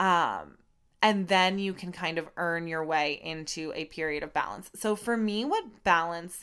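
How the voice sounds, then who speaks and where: On a very clean recording with a silent background, a woman with a medium pitch speaks fairly slowly in an animated tone with ordinary pitch variation. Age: 20s. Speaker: podcast host and Pilates studio owner. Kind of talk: casual solo monologue. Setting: alone in a room recording.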